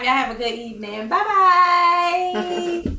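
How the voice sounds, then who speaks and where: A woman's raised, projected voice at an extremely high pitch swings very widely up and down, with audible room echo and noticeable background noise. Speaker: talk show host. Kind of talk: casual chat. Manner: slurring slightly.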